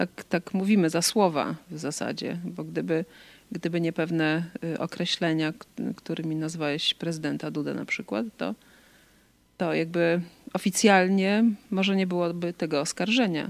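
A woman's fairly low voice at a fairly slow pace, with ordinary pitch variation and a dry, close sound with no echo. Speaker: co-host interviewer. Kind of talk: casual chat.

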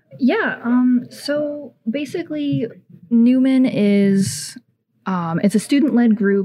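A woman's somewhat breathy, dark and mellow voice with lively intonation, on a very clean recording with a silent background. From Ohio, small town. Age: 20s. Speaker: student group president. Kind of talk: casual radio interview.

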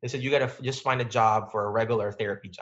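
A man at a medium pitch, with a Filipino accent and fairly even intonation. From Philippines. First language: Filipino language. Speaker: physical therapist. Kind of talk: interview.

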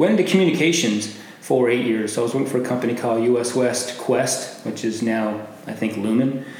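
With an American accent, a man talks at a fairly quick pace and ordinary pitch variation, amid noticeable background noise and audible room echo. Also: medium pitch for a man. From Arizona, Glendale. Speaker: business networker. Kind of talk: interview.

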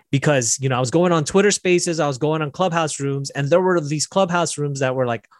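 Recorded with a dry, close sound and no echo, a man with an American accent has a normal speaking voice, a fairly high pitch and ordinary pitch variation. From Las Vegas, US. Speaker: software developer, business owner. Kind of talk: casual interview.

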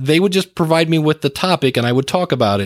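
This man has an ordinary speaking voice with a fairly high pitch. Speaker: podcast coach and trainer. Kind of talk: casual interview conversation. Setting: remote call recording.

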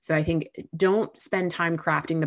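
A woman with an American accent at a moderate pace, her intonation fairly even, against a quiet background. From Southern California. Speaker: customer success executive. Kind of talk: live Q&A interview.

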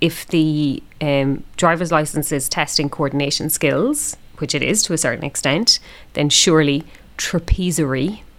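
In an Irish accent, a woman with a very deep, low pitch speaks at a moderate pace with ordinary pitch variation on a very clean recording with a silent background. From Ireland. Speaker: podcast co-host, teacher. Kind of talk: casual chat. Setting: recording in a room at home.

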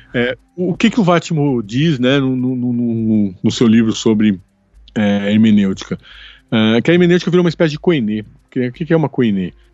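Music plays in the background while a man talks at medium pitch and a moderate pace. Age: 40s. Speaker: podcast co-host, academic. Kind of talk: casual chat about film. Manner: halting, with repeated fillers.

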